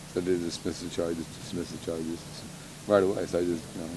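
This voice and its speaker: A soft-spoken man with a very deep, low voice and flat, monotone intonation, fairly quick, with audible room echo and noticeable background noise. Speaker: local street personality. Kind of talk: sit-down interview. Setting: at a house in Westlake.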